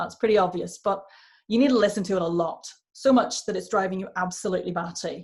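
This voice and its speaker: Talking at a very fast pace, a woman with a medium pitch shows vocal fry. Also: ordinary pitch variation. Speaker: accent and voice coach. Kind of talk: online workshop talk. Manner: casual, conversational with fillers.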